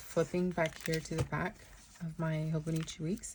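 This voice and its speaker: The voice is somewhat breathy, with a dark, mellow tone. It moves at a fairly slow pace with fairly even intonation. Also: woman. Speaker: planner youtuber. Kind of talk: planner flip-through tutorial. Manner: hesitant, many fillers.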